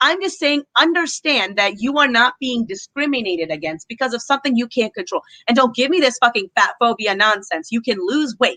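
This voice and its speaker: With an American accent, a woman talks at a fairly quick pace in a high pitch, her bright, sharp tone animated and her intonation lively, in a dry, close sound with no echo. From USA. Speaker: YouTuber, commentary channel guest. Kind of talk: casual chat. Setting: livestream video call.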